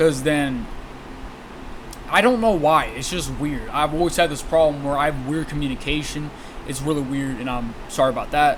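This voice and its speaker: A man's fairly high voice at a moderate pace, with ordinary pitch variation, audible room echo and noticeable background noise. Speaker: online content creator. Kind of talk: apology video monologue. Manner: stuttering, halting; unusual way of talking.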